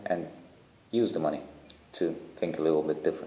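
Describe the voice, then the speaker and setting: A man with a dark, mellow tone and ordinary pitch variation speaks amid audible room echo. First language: not English (third language). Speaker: charity founder. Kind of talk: video proposal to online community. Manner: casual, hesitant with fillers.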